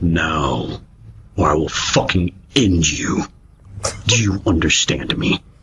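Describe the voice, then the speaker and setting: A man's put-on character voice, very deep and low in pitch, at a fairly slow pace with long, frequent pauses. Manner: menacing, sultry.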